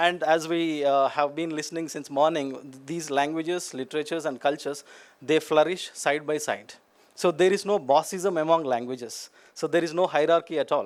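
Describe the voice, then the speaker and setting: A man with a Telugu accent talks at a fairly quick pace. His fairly high pitch stays in fairly even intonation. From India, Telugu-speaking region. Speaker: academic speaker. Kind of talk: conference talk. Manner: hesitant fillers, many 'you know'.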